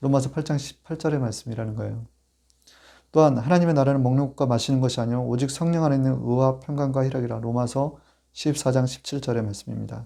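A normal speaking voice goes at a fairly quick pace with fairly even intonation. The recording is very clean, the background silent. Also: man, medium pitch for a man. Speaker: pastor. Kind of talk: sermon.

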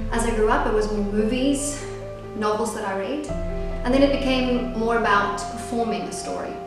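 A woman talks at a moderate pace in a room with strong echo. Clear music plays in the background. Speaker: actress and playwright. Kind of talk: casual talk to camera. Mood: warm, reflective. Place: home room. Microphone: camera far.

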